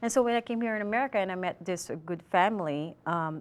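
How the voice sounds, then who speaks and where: In a Filipino accent, a woman talks at a very fast pace and a medium pitch with ordinary pitch variation. The recording is very clean, its background silent. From Philippines. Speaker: student. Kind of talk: interview; prepared commentary.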